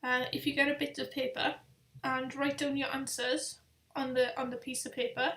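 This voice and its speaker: A woman's high voice with a strong Welsh accent, at a moderate pace. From Wales. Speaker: travel vlogger. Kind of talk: live stream chat. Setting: webcam live stream. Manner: casual, hesitant.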